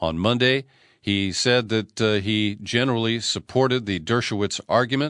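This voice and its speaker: A man with a medium-pitched voice speaks at a moderate pace with ordinary pitch variation in an unremarkable speaking voice. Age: 60s. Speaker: radio host and political commentator. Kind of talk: news commentary.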